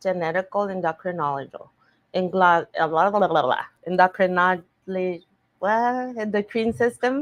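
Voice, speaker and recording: The woman speaks with a non-native accent at a medium pitch. Her pace is moderate and her pitch varies in an ordinary way. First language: Spanish. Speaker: faith-based recovery coach. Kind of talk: podcast interview. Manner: halting.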